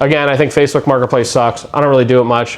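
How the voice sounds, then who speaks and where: A man rattles along at a very fast pace while noticeable background noise carries on behind him. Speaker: YouTuber, trading card collector and vendor. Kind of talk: casual vlog monologue. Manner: chatty.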